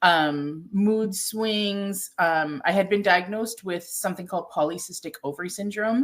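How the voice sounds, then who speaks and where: A woman with a Toronto accent and ordinary pitch variation. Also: medium pitch for a woman, moderate pace. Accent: Canadian English, Toronto. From Toronto, Canada. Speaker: ayurvedic nutritionist and chef. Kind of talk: interview. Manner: conversational, many fillers.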